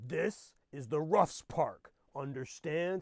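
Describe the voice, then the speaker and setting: A man growls in a put-on character voice at a very slow pace, with a fairly high pitch and ordinary pitch variation. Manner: growling, threatening.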